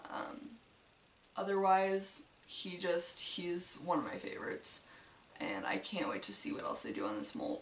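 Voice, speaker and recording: There is noticeable background noise and audible room echo as a woman talks at a moderate pace. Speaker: model horse collector vlogger. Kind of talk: casual collection tour. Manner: hesitant with many fillers.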